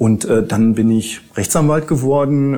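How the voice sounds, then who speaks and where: Ordinary pitch variation around a medium pitch, from a man. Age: 50s. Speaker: lawyer. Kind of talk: interview. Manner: hesitant with frequent fillers.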